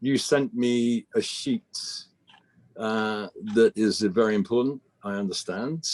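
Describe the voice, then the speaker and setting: Recorded with a dry, close sound and no echo, a man speaks at a fairly slow pace. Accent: British. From Britain. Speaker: business executive, broadcast infrastructure expert. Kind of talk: interview.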